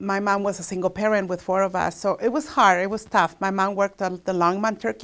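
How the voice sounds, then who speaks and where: Speaking fairly quickly, a woman uses a medium pitch. She speaks with a Spanish accent. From Mexico. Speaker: local resident sharing memories. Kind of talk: personal reminiscence.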